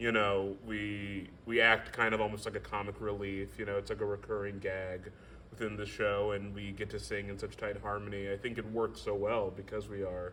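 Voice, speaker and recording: Over noticeable background noise, a man speaks at a moderate pace with hardly any pauses, in a fairly low pitch and flat, monotone intonation. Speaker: musical theater actor. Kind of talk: casual interview. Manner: halting with fillers.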